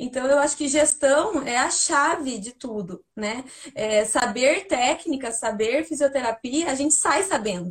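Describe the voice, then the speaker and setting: A woman with a high pitch talks fairly slowly, her intonation lively. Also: hardly any pauses. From Brazil, Paraná. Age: 30s. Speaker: physiotherapist. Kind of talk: casual interview. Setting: live video call.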